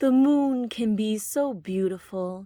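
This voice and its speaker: Someone female, a woman, uses a put-on character voice. Her pace is fairly slow. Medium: read story. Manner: gentle.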